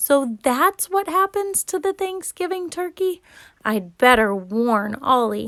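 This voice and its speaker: A woman puts on a character voice, pitched high with very wide swings and delivered at a fairly slow pace. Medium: read story.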